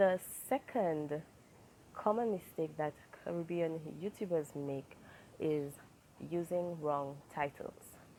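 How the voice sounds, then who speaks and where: In a Saint Lucian accent, a woman speaks very slowly with long, frequent pauses. Her fairly low voice has a dark, mellow tone. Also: ordinary pitch variation. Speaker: YouTuber. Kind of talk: advice vlog.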